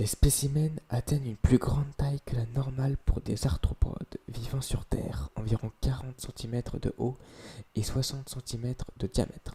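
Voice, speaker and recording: A man's somewhat breathy voice, dark and mellow, at medium pitch and moderate pace, with fairly even intonation and a dry, close sound free of echo. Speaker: ASMR creator. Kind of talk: reading aloud. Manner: whispered ASMR delivery; occasional stumbling.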